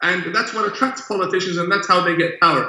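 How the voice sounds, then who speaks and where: Using a raised, projected voice, a man with a high pitch talks with ordinary pitch variation. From Iran / Middle East. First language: Arabic. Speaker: imam. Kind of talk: interview discussion.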